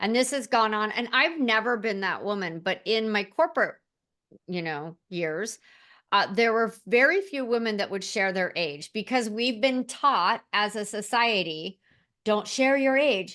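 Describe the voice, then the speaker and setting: Against a quiet background, a woman with a fairly high pitch speaks at a fairly slow pace with lively intonation. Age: 60s. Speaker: LinkedIn and AI trainer. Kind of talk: interview conversation. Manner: animated.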